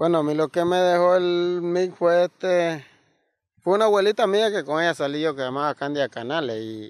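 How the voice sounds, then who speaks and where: A man speaks in a high voice at a moderate pace with ordinary pitch variation. The background is quiet and the sound is dry, with no echo. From Nicaragua. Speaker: disaster survivor. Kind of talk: interview testimony. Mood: somber, recounting tragedy. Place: forest.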